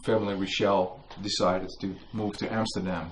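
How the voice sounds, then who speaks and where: A man is speaking. He has a Dutch accent. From Netherlands. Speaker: author and museum worker. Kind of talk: book launch talk. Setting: museum with live audience.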